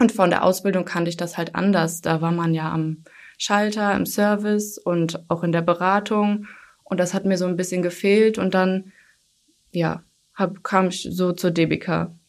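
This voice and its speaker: The pace runs fairly slow. The voice stays monotone and flat throughout. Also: woman, medium pitch for a woman. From Germany, Hunsrück. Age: 20s. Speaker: call center customer service employee. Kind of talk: casual interview. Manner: hesitant, many fillers.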